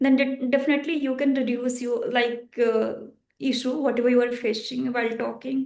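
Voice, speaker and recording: Monotone, flat intonation marks this woman's high-pitched voice, heard in a Bihar accent. Audible room echo surrounds her. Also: moderate pace. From India, Bihar. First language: Bhojpuri. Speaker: software engineer. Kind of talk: interview. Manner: halting.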